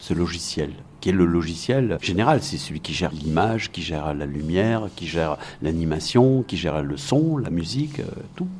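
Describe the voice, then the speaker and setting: Very wide swings in pitch run through the man's speech. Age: 60s. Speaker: video game music composer. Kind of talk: interview testimony. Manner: halting, frequent repetitions and fillers.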